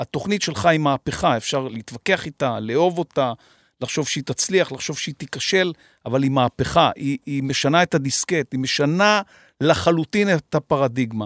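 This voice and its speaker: Fairly high for a man, this normal speaking voice has ordinary pitch variation and a moderate pace. The sound is dry and close with no echo, over a quiet background. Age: 50s. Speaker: podcast host. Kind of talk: interview. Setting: studio.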